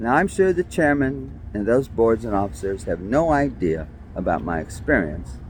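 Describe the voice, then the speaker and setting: With a New York accent, a man speaks at a fairly slow pace. His pitch swings very widely. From New York City (Brooklyn). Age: 60s. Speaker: vlogger. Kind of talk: personal monologue.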